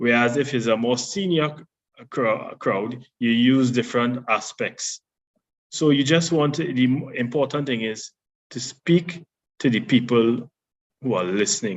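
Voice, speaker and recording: A man speaks at a medium pitch and a fairly slow pace. His pitch varies in an ordinary way. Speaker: public speaking trainer. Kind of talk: workshop talk. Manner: loud, projecting.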